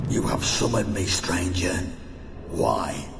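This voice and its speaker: Using a put-on character voice, a man speaks fairly slowly amid loud background noise and clear echo. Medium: machinima. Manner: grave, menacing.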